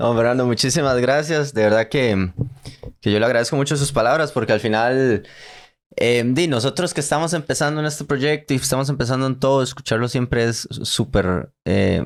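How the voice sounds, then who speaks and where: A man with a Costa Rican accent speaks at a moderate pace in a medium-pitched voice with ordinary pitch variation and very even loudness. The recording is very clean, with a silent background. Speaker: podcast host. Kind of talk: podcast outro.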